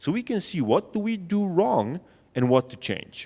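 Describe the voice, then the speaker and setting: Very wide pitch swings at a fairly slow pace with a Polish accent. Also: man. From Poland. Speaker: sales trainer. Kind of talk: conference talk. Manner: conversational.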